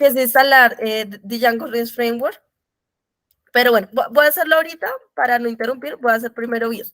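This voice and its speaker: The woman's high voice moves at a fairly quick pace with ordinary pitch variation. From Colombia. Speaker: programming mentor. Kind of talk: tutorial.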